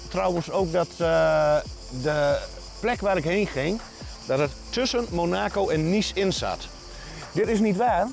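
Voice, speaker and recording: Over clear background music, a man speaks fairly slowly with long, frequent pauses and very even loudness, the sound dry with no echo. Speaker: travel vlogger. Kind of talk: casual vlog chat. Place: open country. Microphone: lapel.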